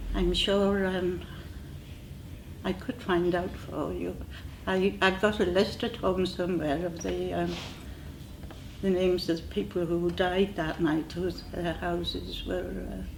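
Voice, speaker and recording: A woman with a South Wales accent, fairly slow pace, long and frequent pauses, and audible room echo. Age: 80s+. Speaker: war-time witness. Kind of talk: oral history interview. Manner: halting, many fillers.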